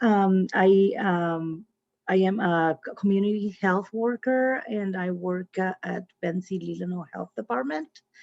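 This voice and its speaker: A woman with a Spanish accent speaks with ordinary pitch variation in a dry, close sound with no echo. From Honduras. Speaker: community health worker. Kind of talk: casual chat. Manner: halting, many fillers.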